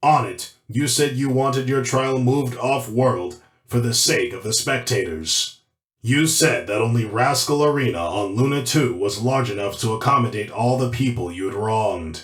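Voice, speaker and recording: A man's cartoonish character voice at medium pitch and moderate pace. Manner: firm, authoritative.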